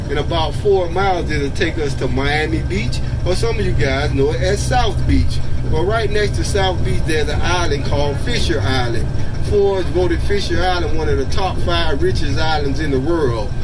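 Heavy background noise fills the recording. Through it, a man's speech proceeds at a medium tempo. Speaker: bus driver tour guide. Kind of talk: tour guide commentary. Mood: joking, friendly. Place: bus.

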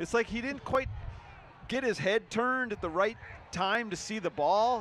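A man talks at a moderate pace with a high pitch. Noticeable background noise is present. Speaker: color commentator. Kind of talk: live sports commentary. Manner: casual, analytical.

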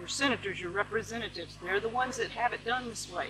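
Amid noticeable background noise, a woman with an American accent speaks at a fairly quick pace in a fairly high pitch. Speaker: vlogger, homesteader. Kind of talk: casual vlog monologue. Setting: outdoors in the garden. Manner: animated.

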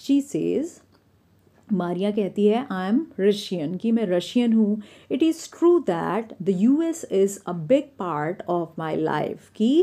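A woman with a dark, mellow tone speaks at a medium pitch with very wide pitch swings against a quiet background. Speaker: English teacher. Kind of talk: lecture.

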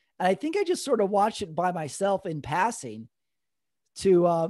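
A man's high, dark, mellow voice in an American accent, at a moderate pace, dry with no echo, over a quiet background. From El Paso, Texas; Texas. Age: 40s. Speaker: podcast host and stand-up comedian; podcast host, stand-up comedian. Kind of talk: casual chat. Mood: relaxed, amused. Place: home room. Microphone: studio mic.

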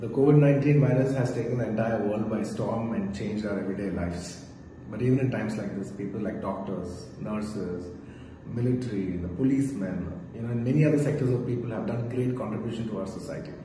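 Light background noise and audible room echo surround a man talking at a very fast pace with ordinary pitch variation. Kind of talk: public appeal message. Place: home room. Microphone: phone near.

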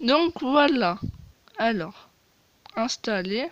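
Lively intonation from a woman with a fairly high pitch, at a very slow pace.

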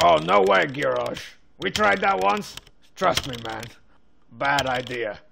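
In a cartoonish character voice at medium pitch, a man speaks fairly slowly with very wide pitch swings and long, frequent pauses. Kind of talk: deadpan comic commentary. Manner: laid-back, rambling, casual slang ("man", "you know").

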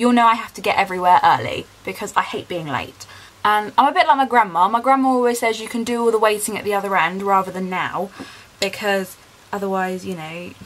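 This woman talks at a fairly quick pace, her intonation lively and her loudness swinging widely. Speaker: vlogger. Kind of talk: casual vlog chat. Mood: chatty, excited. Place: home room. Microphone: phone near.

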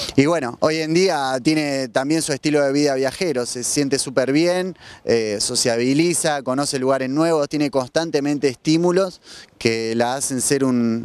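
The sound is dry, with no echo. A man speaks at a fairly slow pace with ordinary pitch variation. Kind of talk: interview answer. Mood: warm, enthusiastic. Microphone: handheld.

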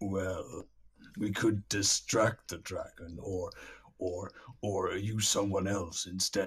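At a very slow pace, a man uses a put-on character voice pitched fairly low. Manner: slow, self-satisfied.

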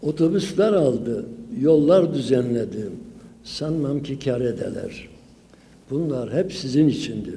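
A man speaks at a very slow pace with a dark, mellow tone. His voice is somewhat breathy, with lively intonation. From Sivas, Turkey; Turkey. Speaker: folklore professor. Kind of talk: conference lecture. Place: hall. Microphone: podium.

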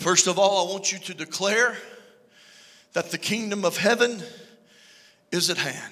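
A man with an American accent speaks in a raised, projected voice with an animated tone, going at a fairly slow pace with long, frequent pauses against a quiet background. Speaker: preacher. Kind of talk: sermon. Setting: church. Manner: animated, preaching with call-and-response energy; conversational and joking. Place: church. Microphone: handheld.

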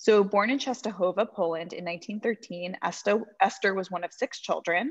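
Against a quiet background, a woman with an ordinary speaking voice talks at a moderate pace in a medium pitch with ordinary pitch variation. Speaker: museum educator hosting series. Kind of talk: educational webinar presentation. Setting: video call. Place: home room. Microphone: webcam.

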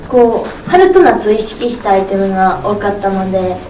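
Audible room echo and light background noise surround a woman's voice. She speaks with a Tsugaru accent and fairly even intonation. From Aomori, Japan. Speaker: TV personality. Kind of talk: press event interview answer. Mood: cheerful, warm. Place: meeting room.

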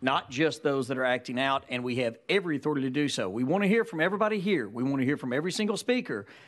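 Talking at a very fast pace, a man's voice makes very wide pitch swings. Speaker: legislator, party leader. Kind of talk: legislative committee hearing. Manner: formal. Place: hall. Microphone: podium.

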